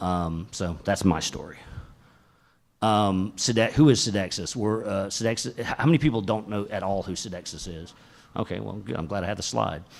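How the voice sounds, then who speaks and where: On a very clean recording with a silent background, a man with a Southern US accent speaks at a moderate pace, his fairly low pitch carrying ordinary variation. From US South, Atlanta, Georgia. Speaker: tech company executive, conference speaker. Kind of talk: tech talk. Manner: casual, many fillers.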